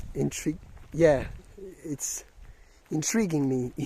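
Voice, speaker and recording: Fairly slow speech comes with a non-native accent. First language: not English. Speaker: video blogger, music reviewer. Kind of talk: casual monologue vlog. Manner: halting, many fillers and restarts.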